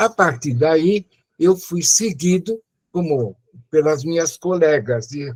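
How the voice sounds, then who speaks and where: Recorded dry and close with no echo, a man speaks at a fairly high pitch with lively intonation. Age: 80s+. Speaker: retired medical professor. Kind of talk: testimony.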